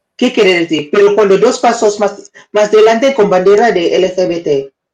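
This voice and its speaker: Speaking at a fairly slow pace, a woman with a non-native accent has a medium pitch. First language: not Spanish (speaking Spanish). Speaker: live-stream news and debate co-host. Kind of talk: casual live-stream chat. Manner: halting, searching for words.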